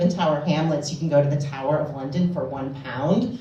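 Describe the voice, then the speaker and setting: Noticeable background noise sits behind a woman with an American accent. She speaks at a fairly quick pace with ordinary pitch variation. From United States. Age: middle-aged. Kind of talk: stand-up comedy storytelling. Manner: casual, chatty.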